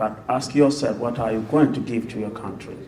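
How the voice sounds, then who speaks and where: Man's medium-pitched voice with fairly even intonation, audible room echo and noticeable background noise. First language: non-English mother tongue. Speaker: musician and panelist. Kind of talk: panel discussion.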